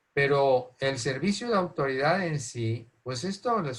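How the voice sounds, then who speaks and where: A somewhat breathy voice moves at a very slow pace with lively intonation. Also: man. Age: 70s. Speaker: friar giving a talk to parents. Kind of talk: talk. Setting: online talk.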